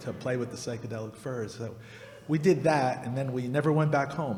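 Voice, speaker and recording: With audible room echo, a man with an American accent speaks at medium pitch. His pace is moderate and his intonation fairly even. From New Jersey, US. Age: 60s. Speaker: radio host and musician. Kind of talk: interview on stage.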